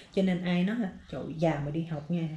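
Within audible room echo, a somewhat breathy voice with a dark, mellow tone keeps a fairly even intonation. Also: woman. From Vietnam. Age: 20s. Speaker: vlogger, student in US. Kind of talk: casual vlog monologue. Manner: casual, conversational. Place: home room. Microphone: phone near.

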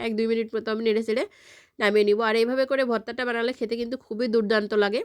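The intonation of this woman is monotone and flat, at a fairly high pitch. The recording is very clean, with a silent background. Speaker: cooking video creator. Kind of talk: tutorial.

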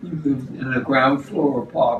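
There is audible room echo and light background noise around the man speaking. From New York City. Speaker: retiree recalling childhood. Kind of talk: interview answer. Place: kitchen. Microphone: camera far.

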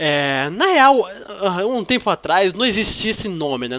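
This man's animated tone sits at a high pitch, with very wide pitch swings and a fairly slow pace. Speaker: gaming youtuber. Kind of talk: casual gameplay commentary.

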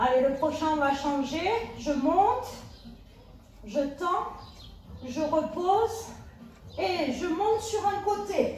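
Over light background noise and audible room echo, a woman speaks at an extremely high pitch and a very slow pace, with very wide pitch swings and long, frequent pauses. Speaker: fitness instructor. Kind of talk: workout instruction. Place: home room. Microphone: camera far.

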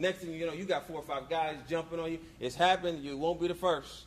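A man talks at a very fast pace with a high pitch and fairly even intonation. Light background noise is present. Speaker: motivational speaker. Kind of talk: motivational talk. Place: hall. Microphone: handheld.

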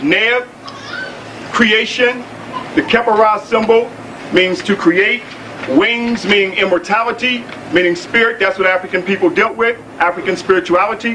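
A man with a high pitch uses a raised, projected voice with long, frequent pauses over light background noise. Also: ordinary pitch variation, moderate pace, very even loudness. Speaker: lecture assistant. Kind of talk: lecture. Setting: stage with audience. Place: hall. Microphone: old recording.

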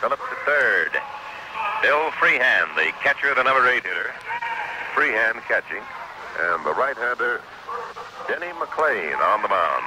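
Noticeable background noise surrounds a man speaking at a moderate pace. His voice sounds dry with no echo, and he leaves long, frequent pauses. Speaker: sports announcer. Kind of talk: radio baseball play-by-play. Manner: measured, professional. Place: booth. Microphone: old recording.

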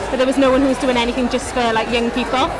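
The speech moves at a very fast pace. Clear music plays in the background. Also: woman. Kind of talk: interview answer. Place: hall.

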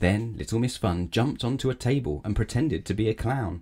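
Heard here is a natural reading voice.

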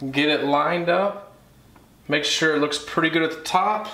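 A man speaks at a fairly slow pace in a fairly high pitch with ordinary pitch variation and a bright, sharp tone, with strong room echo around him.

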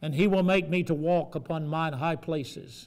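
A man talks at a fairly slow pace with a fairly high pitch.

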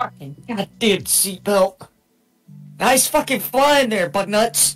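Over faint music in the background, a put-on character voice speaks fairly high and at a fairly slow pace. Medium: actual play. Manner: profane, sarcastic.

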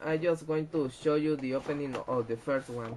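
Man with fairly even intonation. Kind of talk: casual unboxing commentary. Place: home room. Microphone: webcam.

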